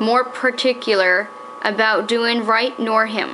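A woman talks at a very slow pace, her fairly high pitch held in fairly even intonation. Noticeable background noise runs under the recording. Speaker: daughter reading aloud. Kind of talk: period magazine reading aloud. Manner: steady, formal, measured.

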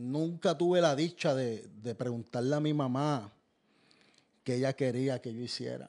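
Against a quiet background, a man with a dark, mellow tone speaks at a very slow pace with ordinary pitch variation and long, frequent pauses. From Puerto Rico. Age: 40s. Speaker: former inmate giving testimony; guest. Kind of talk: testimony. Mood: earnest, reflective. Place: studio. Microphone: studio mic.

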